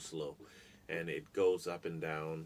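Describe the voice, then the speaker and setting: Speaking with an American accent, a man's very deep, low voice keeps a fairly even intonation. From New Orleans, US South. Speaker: live streamer and musician. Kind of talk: casual live-stream Q&A. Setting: live stream. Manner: fast.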